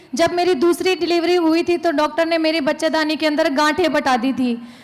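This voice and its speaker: Through noticeable background noise, a woman talks at a moderate pace with an extremely high pitch and fairly even intonation. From Rajasthan, Barmer. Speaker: product testimonial giver. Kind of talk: testimony.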